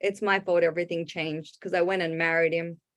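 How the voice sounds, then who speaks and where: A woman speaks in an Australian accent. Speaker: stand-up comedian. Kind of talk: stand-up. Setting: online video show from home.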